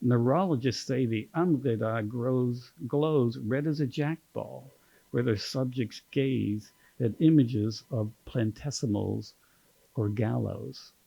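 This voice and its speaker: A man's medium-pitched, dark and mellow voice with an American accent, ordinary pitch variation and a fairly slow pace. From Kentucky. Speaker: poet giving a reading. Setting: stage.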